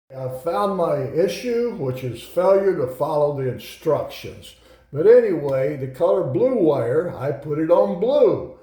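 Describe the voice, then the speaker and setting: Over noticeable background noise, a man speaks with a high pitch and very wide pitch swings. His pace is fairly slow, with hardly any pauses. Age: 70s. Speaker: war veteran. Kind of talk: tutorial; casual talk to camera. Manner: casual, hesitant with fillers.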